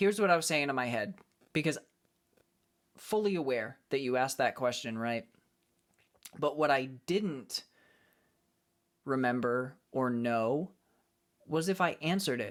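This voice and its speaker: The speaker uses lively intonation with an American accent and leaves long, frequent pauses. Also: man, medium pitch for a man, fairly slow pace. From United States. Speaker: live streamer and acoustic cover singer. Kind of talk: casual live-stream chat with viewers. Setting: live stream. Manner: calm, relaxed.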